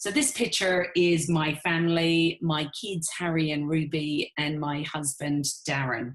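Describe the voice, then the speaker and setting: A woman with an Irish accent, a very deep, low pitch and ordinary pitch variation, at a fairly slow pace with hardly any pauses. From Ireland. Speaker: network marketing business owner. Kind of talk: webinar presentation.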